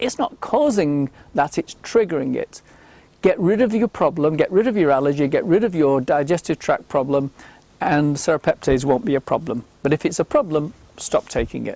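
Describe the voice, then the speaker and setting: Heard in a dry, close sound with no echo, a man with a dark, mellow tone and fairly high pitch speaks at a moderate pace. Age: 60s. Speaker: health supplement promoter. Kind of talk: Q&A monologue. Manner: hesitant with fillers.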